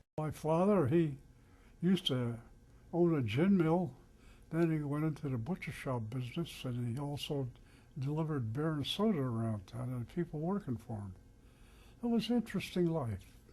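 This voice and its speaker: A man's somewhat breathy, fairly high voice with a dark, mellow tone and lively intonation, at a moderate pace with long, frequent pauses. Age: 90s. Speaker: Alzheimer's patient. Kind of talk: interview.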